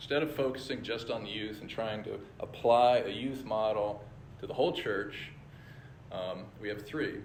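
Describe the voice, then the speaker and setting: A man at a moderate pace with ordinary pitch variation, in audible room echo. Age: 60s. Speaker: church leader. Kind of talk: church presentation with slides.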